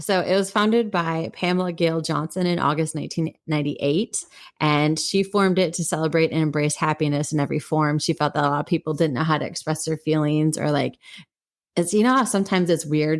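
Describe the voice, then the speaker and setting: With an American accent, a woman with a fairly low voice speaks at a fairly quick pace with very even loudness, in a very clean recording with a silent background. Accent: Wisconsin accent, slips out occasionally. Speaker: podcast co-host. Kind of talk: casual chat. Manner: halting, self-correcting with fillers.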